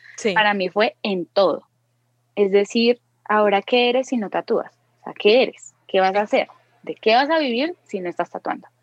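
A woman's plain, everyday voice, fairly high with ordinary pitch variation, at a moderate pace, in a dry, close sound with no echo. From Colombia. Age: 20s. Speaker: tattoo artist. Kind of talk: interview chat.

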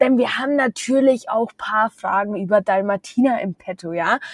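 A woman with a Bavarian accent and an animated tone. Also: dry, close sound with no echo. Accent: Bavarian, often audible. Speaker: podcast host. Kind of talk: casual chat.

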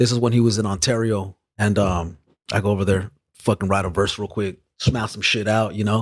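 In a very clean recording with a silent background, a man with a fairly low pitch speaks in a monotone, flat intonation. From Los Angeles area, California. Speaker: rapper. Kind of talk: casual chat.

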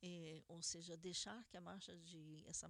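A woman talks at a fairly slow pace. Her fairly low voice stays monotone, with flat intonation. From Brazil, Curitiba, Paraná. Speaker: radio host. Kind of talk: news commentary radio show. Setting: studio, live radio broadcast.

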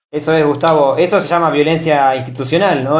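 In an Argentine accent, a man speaks at a fairly quick pace and fairly high pitch, keeping his intonation fairly even. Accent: Rioplatense Argentine Spanish. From Argentina, Miramar (Buenos Aires province). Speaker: podcast host and journalism student. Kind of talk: interview. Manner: halting.

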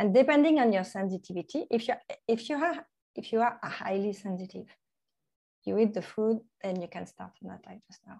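A woman's fairly high voice in a French accent, dark and mellow in tone, fairly quick in pace, with lively intonation, big swings in loudness and long, frequent pauses. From France, Normandy. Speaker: nutrition coach. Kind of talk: interview. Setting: remote call. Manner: halting.

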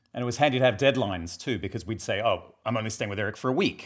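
Speaking with an Australian accent, a man uses medium pitch and lively intonation. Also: very clean recording, silent background. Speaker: screenwriter and filmmaker.

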